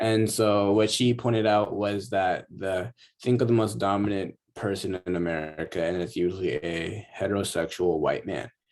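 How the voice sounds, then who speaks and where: Fairly low in pitch, a man delivers an unremarkable speaking voice at a moderate pace with fairly even intonation and hardly any pauses. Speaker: college student. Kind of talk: class discussion. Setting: video call.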